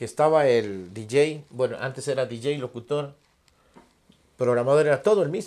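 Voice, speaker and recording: Speaking at a moderate pace, a man uses lively intonation broken by long, frequent pauses. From Ecuador, Loja province; Ecuador. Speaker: singer; guest. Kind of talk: casual interview. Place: studio. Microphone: lapel.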